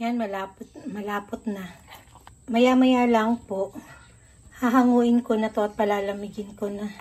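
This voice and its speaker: A somewhat breathy woman's voice, fairly high in pitch, fairly slow and monotone, with long, frequent pauses. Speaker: cooking vlogger. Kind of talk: cooking tutorial. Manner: casual, with fillers and restarts.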